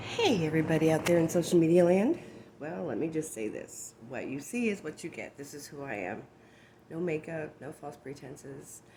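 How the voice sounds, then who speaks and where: A woman with a very deep, low pitch speaks at a moderate pace with lively intonation and big swings in loudness over noticeable background noise. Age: 60s. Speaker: personal vlogger sharing life experiences. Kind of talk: personal testimony vlog. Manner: hesitant, with many fillers.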